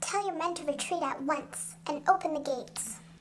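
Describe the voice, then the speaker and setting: In a squeaky, high-pitched, put-on character voice, the speaker goes at a moderate pace over clear background noise. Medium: audio drama. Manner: cool and calm.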